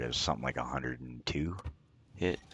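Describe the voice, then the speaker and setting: A man's voice, very deep and low in pitch. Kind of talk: gameplay commentary voice-over. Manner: monotone.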